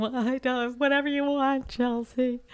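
In a put-on character voice, a female-sounding speaker sounds whiny, with a whiny tone, high pitch and monotone, flat intonation. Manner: whiny, crying.

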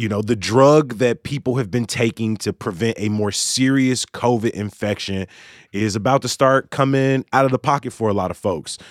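The speech moves at a moderate pace with ordinary pitch variation, recorded very clean, dry and close, with no echo and a silent background. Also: man, medium pitch for a man. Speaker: podcast host. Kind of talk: casual chat. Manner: animated.

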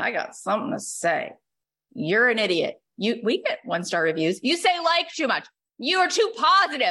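Projecting a raised voice, a woman with an American accent speaks at a moderate pace in a high pitch, her very wide pitch swings carrying a bright, sharp tone. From upstate New York. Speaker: podcast coach and host. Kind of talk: group coaching call. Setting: video call. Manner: animated.

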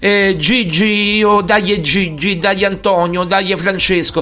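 A man speaks in a raised, projected voice with a high pitch. His tone is bright and sharp. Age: 40s. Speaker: sports radio host. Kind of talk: casual monologue. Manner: animated.

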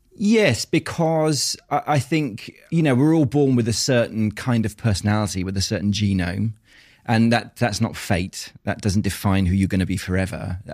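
A man with an English accent talks at a moderate pace, his fairly low voice carrying lively intonation. The recording is very clean against a silent background. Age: 40s. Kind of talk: casual chat. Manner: halting.

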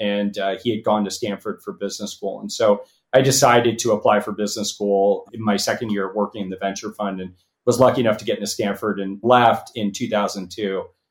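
A man with an American accent, fairly low-pitched and monotone with flat intonation, on a very clean recording with a silent background. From Los Angeles. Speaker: venture capitalist and company founder. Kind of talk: interview. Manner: halting, many fillers and repeats.

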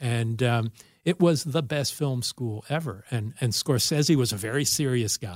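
A man with an American accent speaks at a moderate pace and medium pitch, somewhat breathy, with ordinary pitch variation and a dry, close sound with no echo. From US West Coast, Los Angeles. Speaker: film director and writer. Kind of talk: casual chat. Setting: studio.

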